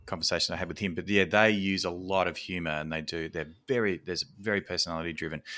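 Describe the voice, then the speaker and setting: Very deep and low-pitched, a man with an Australian accent talks at a very fast pace with hardly any pauses, fairly even intonation and a bright, sharp tone on a very clean recording with a silent background. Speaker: podcast host. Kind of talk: casual interview chat; podcast intro announcements.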